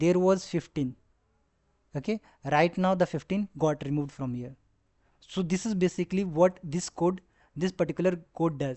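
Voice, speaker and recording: Moderate pace with a non-native accent and long, frequent pauses. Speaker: data science tutor. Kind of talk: tutorial. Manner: halting, with fillers.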